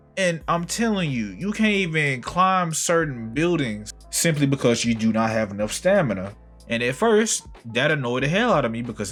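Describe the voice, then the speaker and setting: With music in the background, a man speaks at a moderate pace in a fairly high pitch that makes very wide swings. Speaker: game reviewer. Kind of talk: casual game review to camera.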